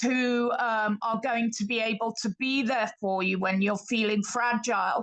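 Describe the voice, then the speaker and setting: A woman with a British accent, fairly high-pitched, at a fairly slow pace with ordinary pitch variation. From Britain. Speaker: participant in live online lecture. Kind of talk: audience contribution in live online lecture. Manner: hesitant, with fillers.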